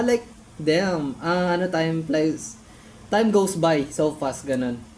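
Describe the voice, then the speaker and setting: A woman talks with lively intonation. Noticeable background noise runs underneath. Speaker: YouTuber reacting to own old videos. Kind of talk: casual reaction commentary. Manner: animated.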